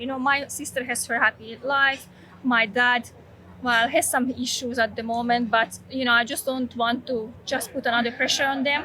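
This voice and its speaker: A woman's high, bright, sharp voice with a Slovak accent, monotone and flat in intonation, at a moderate pace. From Slovakia. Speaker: vlogger. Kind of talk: personal testimony.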